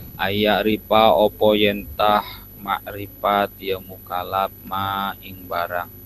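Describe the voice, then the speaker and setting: A man's fairly low voice unfolds at a very slow pace. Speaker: religious teacher. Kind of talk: religious lecture. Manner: halting.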